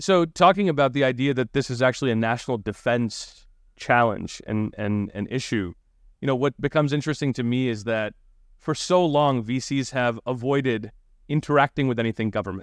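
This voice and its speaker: A man with an unremarkable speaking voice speaks at a fairly quick pace and medium pitch, with ordinary pitch variation, in a dry, close sound with no echo against a quiet background. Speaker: podcast host. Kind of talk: interview.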